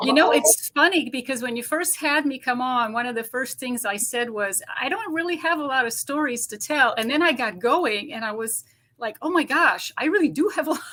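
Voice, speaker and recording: A woman speaks in a high, raised and projected voice with a slight Romanian accent, moving at a fairly quick pace with lively intonation and hardly any pauses. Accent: slight Romanian accent in American English. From Romania, later France and New Jersey. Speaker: ET experiencer guest. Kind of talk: casual interview chat. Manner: well-spoken.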